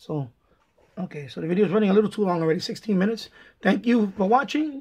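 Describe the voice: Speaking at a fairly quick pace, a man shows ordinary pitch variation and a slightly husky edge.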